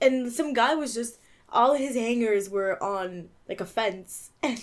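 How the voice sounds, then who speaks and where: On a very clean recording with a silent background, a woman with an unremarkable speaking voice talks at a fairly high pitch with lively intonation. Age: 20s. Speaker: podcast co-host. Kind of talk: casual chat.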